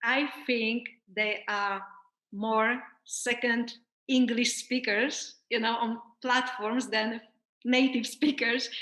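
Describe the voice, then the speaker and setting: A woman speaks at a very slow pace in a high pitch with a bright, sharp tone and very even loudness. Her intonation is monotone and flat, broken by long, frequent pauses. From Poland. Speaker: life coach. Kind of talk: interview.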